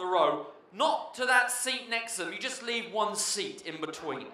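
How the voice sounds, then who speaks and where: Amid noticeable background noise and audible room echo, a man with an English accent speaks in a raised, projected voice at an extremely high pitch, animated in tone and with very wide pitch swings. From England, Oxford. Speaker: cruise director. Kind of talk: stage show hosting. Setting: theatre stage with audience.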